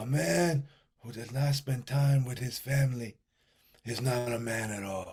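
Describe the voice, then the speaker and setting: A man puts on a character voice at a medium pitch. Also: moderate pace. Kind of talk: gravelly mob-boss delivery.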